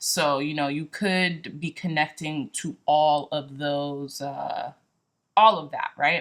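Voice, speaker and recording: A woman's very deep, low voice at a very slow pace, with fairly even intonation. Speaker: tarot reader. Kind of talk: tarot reading monologue. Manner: casual, filler-heavy.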